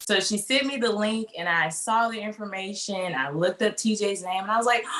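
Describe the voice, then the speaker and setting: In a Mississippi accent, a woman speaks at a moderate pace over noticeable background noise. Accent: Southern US (Mississippi). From US South, Mississippi. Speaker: fashion design student. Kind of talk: interview.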